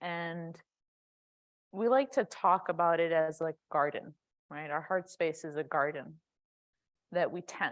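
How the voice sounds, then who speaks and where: This woman's voice is fairly low, with ordinary pitch variation and long, frequent pauses. The recording is very clean, with a silent background. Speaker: yoga and meditation teacher. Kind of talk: guided meditation. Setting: church sanctuary. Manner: loud; casual, conversational.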